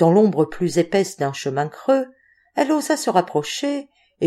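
In an unforced reading voice, the speaker reads against a quiet background.

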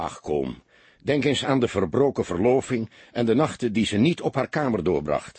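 Reading in a natural voice

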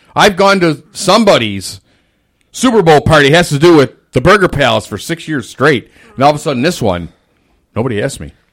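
At a fairly quick pace, a man speaks with vocal fry. His fairly high pitch makes very wide swings. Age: 50s. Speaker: podcast co-host, maintenance man. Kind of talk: casual chat.

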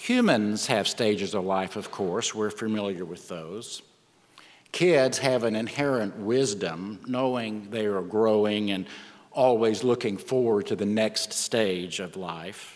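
In a West Texas accent, a man speaks at a fairly slow pace with a fairly low pitch, ordinary pitch variation and audible room echo. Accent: West Texan. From West Texas panhandle. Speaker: minister. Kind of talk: sermon.

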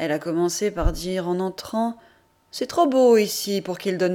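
An unforced reading voice with pitch that moves by normal amounts

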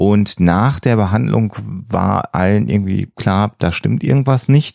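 This man's voice sits at a fairly low pitch with vocal fry, a dark, mellow tone and ordinary pitch variation.

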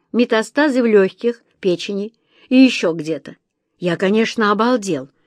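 The speaker reads in an unforced reading voice, and the background is quiet.

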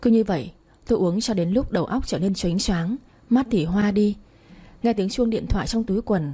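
Someone does plain reading aloud, with ordinary pitch variation.

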